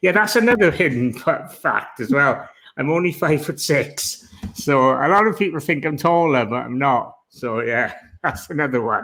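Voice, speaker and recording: Speaking with a strong Welsh accent, a man uses a fairly high pitch, a bright, sharp tone and lively intonation. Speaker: online seller. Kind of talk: interview. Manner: deliberately slowed.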